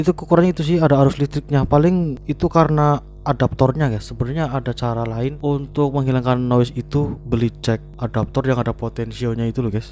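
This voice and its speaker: Music plays in the background as a man speaks at a very fast pace. His pitch is medium, with ordinary pitch variation. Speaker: tech reviewer. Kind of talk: product review. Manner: casual, filler-heavy.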